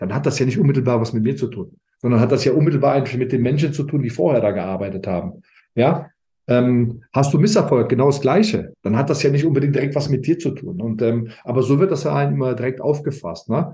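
A somewhat breathy male voice at medium pitch, fairly quick in pace, with lively intonation. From Germany, Rhineland near Aachen (Alsdorf). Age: 50s. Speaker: former footballer, sporting director. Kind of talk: interview. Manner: halting, many fillers.

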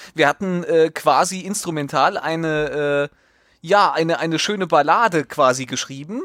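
In a very clean recording with a silent background, a man speaks with a high pitch and ordinary pitch variation. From central Hesse, Germany. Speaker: podcast co-host. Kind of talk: casual comedic news talk.

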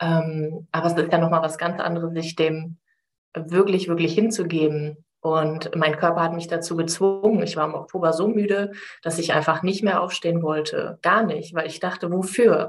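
The speaker keeps a moderate pace with fairly even intonation. Music plays in the background. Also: woman, fairly low pitch for a woman. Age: 30s. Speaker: life coach. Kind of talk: casual interview.

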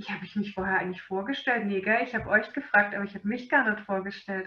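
A woman's bright, sharp voice with a slight Swabian accent against a quiet background. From Swabia, Germany. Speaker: animal nutrition webinar presenter. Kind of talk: webinar lecture.

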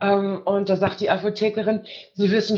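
Intonation stays fairly even as a woman speaks at a medium pitch. She has an unremarkable speaking voice. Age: 30s. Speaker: caller. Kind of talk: testimony.

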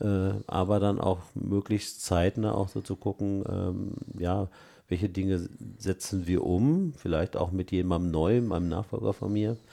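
In a very clean recording with a silent background, a man with a very deep, low pitch and a dark, mellow tone speaks fairly slowly with fairly even intonation. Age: 60s. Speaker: director of a holiday and education centre. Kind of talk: interview.

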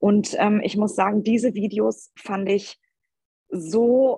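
Somewhat breathy and at a medium pitch, a woman is heard in a dry, close recording with no echo. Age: 40s. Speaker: mother and athlete testing a course. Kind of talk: casual interview.

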